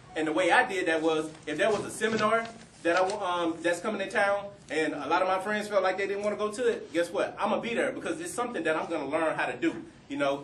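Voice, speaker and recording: A high male voice at a fairly quick pace with ordinary pitch variation, amid audible room echo and noticeable background noise. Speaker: panel speaker, community professional. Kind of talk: career advice talk to students. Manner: fast.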